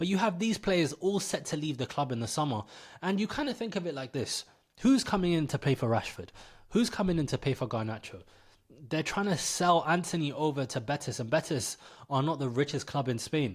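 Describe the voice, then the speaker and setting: A man speaks fairly quickly at a fairly high pitch, his voice somewhat breathy. His pitch swings very widely, and the recording is very clean with a silent background. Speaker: football content creator. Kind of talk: casual vlog commentary. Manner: stuttering.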